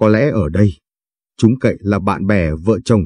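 Over a quiet background, a man talks at a fairly low pitch and a fairly slow pace with lively intonation. His tone is dark and mellow, and the sound is dry and close with no echo. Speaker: story narrator. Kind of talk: scripted narration, reading a story aloud.

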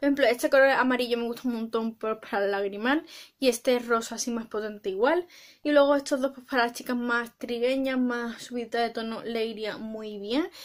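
A woman speaks with a high pitch. Her pace is fairly quick. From Spain. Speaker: beauty vlogger. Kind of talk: makeup product review; casual tutorial product review. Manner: animated; hesitant, filler-heavy. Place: home room. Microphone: phone near.

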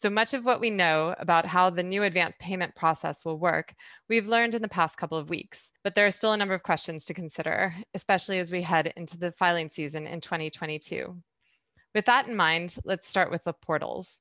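A woman with a fairly low pitch and a bright, sharp tone speaks at a fairly quick pace. The sound is dry with no echo, over a quiet background. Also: ordinary pitch variation. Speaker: podcast host. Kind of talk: interview question and introduction.

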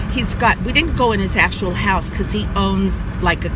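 A woman's voice comes across dry and echo-free amid loud background noise. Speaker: vlogger. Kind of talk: casual vlog chat. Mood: chatty, animated storytelling. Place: car. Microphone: phone near.

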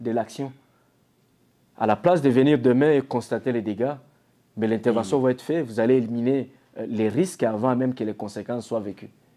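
Long, frequent pauses mark this man's speech. His tone is dark and mellow. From DR Congo. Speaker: security company CEO. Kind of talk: interview. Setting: Toronto, on location. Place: home room. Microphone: lapel.

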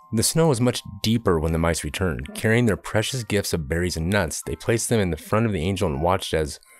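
The voice reads naturally. That holds from start to finish.

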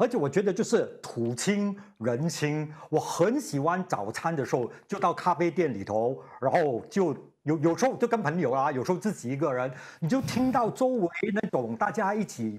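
A man with a high pitch and an animated tone speaks with very wide pitch swings. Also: moderate pace. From Singapore. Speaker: radio host; radio host interviewee. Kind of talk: TV panel chat. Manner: repeats words, halting starts; animated, laughing. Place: studio. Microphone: lapel.

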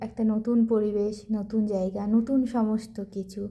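Pitched fairly high, a woman's somewhat breathy voice carries a dark, mellow tone. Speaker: vlogger. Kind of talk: vlog narration.

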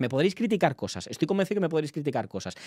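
A man speaks in an animated tone. Behind him the background is quiet. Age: 20s. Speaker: political journalist and streamer; streamer, political commentator. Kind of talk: live stream commentary. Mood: indignant, defensive. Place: home room. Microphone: studio mic.

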